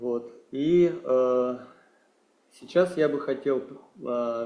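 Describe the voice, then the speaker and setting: A man speaks with a Russian accent. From Kazakhstan. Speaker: meditation teacher. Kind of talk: talk to online meeting. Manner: halting.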